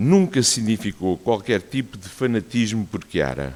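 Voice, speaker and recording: A man of medium pitch at a fairly slow pace. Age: 60s. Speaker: cardiologist giving a talk. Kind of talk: personal testimony talk.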